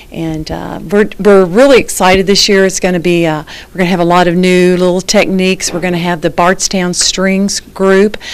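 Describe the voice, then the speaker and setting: A woman talks in an ordinary speaking voice, fairly low in pitch and fairly even in intonation. Her pace is moderate. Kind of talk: interview answer. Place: office. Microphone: handheld.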